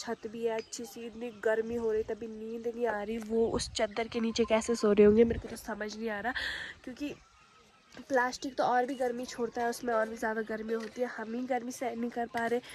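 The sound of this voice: Speaking at a fairly quick pace, the voice has a slightly mellow tone and little pitch movement. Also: woman, fairly high pitch for a woman.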